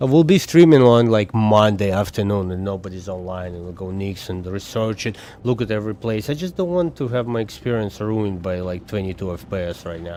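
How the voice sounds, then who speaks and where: Talking at a fairly quick pace with hardly any pauses, a man with a non-native accent has fairly low pitch, a dark, mellow tone and ordinary pitch variation. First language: not English. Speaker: gaming streamer. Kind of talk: casual live-stream gameplay chat. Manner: casual, thinking aloud with fillers.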